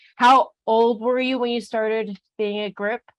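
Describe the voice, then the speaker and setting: At a moderate pace, a woman with a normal speaking voice and fairly high pitch talks against a quiet background, the sound dry and close with no echo. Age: 30s. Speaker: podcast host. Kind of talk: interview. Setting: podcast.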